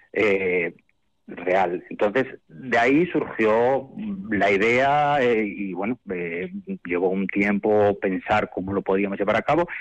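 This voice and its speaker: A man talks at a very slow pace. The pitch variation in his voice is ordinary. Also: fairly low pitch for a man. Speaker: children's choir director. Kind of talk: interview.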